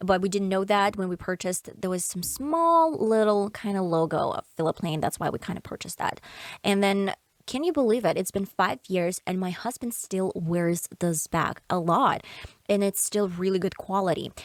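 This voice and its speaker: With a Russian accent, a woman speaks at medium pitch and a moderate pace, showing ordinary pitch variation. The sound is dry and close, with no echo. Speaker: podcaster. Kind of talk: casual chat. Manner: halting.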